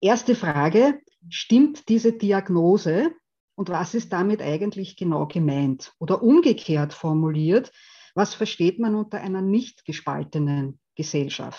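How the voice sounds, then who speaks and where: With lively intonation, a woman speaks at a medium pitch in a dark, mellow tone. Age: 50s. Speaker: theology professor and values researcher. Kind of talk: lecture. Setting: video call.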